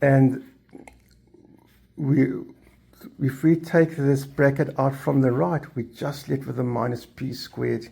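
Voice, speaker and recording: At a very slow pace with long, frequent pauses, a man speaks in a somewhat breathy, dark, mellow tone, his fairly high pitch held in fairly even intonation. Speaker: maths tutor. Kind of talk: tutorial.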